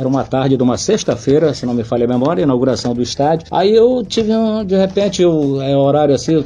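A man's fairly high voice at a very fast pace, with noticeable background noise. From Brazil, Santarém (Pará). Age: 60s. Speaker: radio reporter. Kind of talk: interview, casual storytelling.

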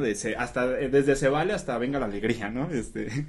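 Ordinary pitch variation marks an unremarkable speaking voice delivered at a moderate pace. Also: man. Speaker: podcast host. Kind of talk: casual chat.

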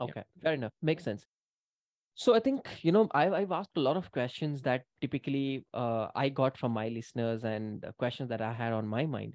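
With an unremarkable speaking voice, a man talks at a fairly quick pace and medium pitch with lively intonation, the sound dry and close with no echo and the background quiet. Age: 30s. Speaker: podcast host. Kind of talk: interview.

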